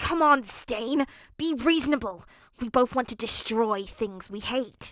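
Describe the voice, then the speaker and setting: Using a put-on character voice, a woman growls at a fairly slow pace in a high pitch. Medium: read story. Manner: bitter, sneering.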